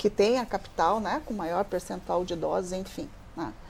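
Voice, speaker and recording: A woman speaks at a moderate pace with a medium pitch. Her tone is dark and mellow, with ordinary pitch variation. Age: 60s. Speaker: social worker in gerontology. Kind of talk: televised panel discussion.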